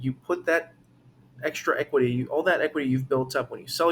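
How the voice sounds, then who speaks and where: With a somewhat breathy voice, a man talks fairly quickly in a fairly even intonation. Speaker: real estate agent. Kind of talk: market update talk to camera. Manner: halting, self-correcting; casual, conversational.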